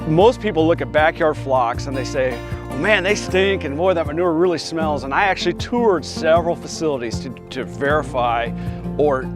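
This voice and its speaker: A fairly high-pitched man with a Midwestern American accent, at a moderate pace with very wide pitch swings, music in the background. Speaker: farmer. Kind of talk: interview answer. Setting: outdoors.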